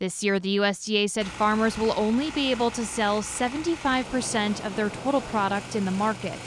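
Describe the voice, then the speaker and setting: A woman talks at a fairly quick pace in a fairly high pitch. She has an American accent, and noticeable background noise can be heard. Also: ordinary pitch variation. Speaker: TV news reporter and anchor. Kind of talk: TV news package voice-over.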